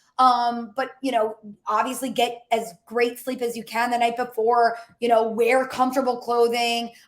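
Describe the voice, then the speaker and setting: The woman's pitch is high. Her intonation is monotone and flat. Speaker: career coach. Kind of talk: webinar presentation. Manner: usually fast.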